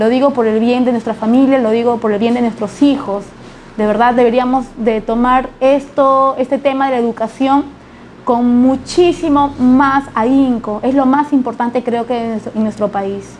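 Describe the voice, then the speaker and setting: Against noticeable background noise, a high-voiced woman speaks fairly slowly with fairly even intonation. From Lima, Peru. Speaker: politician. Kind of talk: interview.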